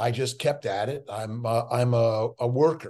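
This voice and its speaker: Here a man speaks with an American accent at a medium pitch. It is a normal speaking voice with ordinary pitch variation. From Los Angeles, US West Coast. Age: 60s. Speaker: physician. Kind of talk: interview.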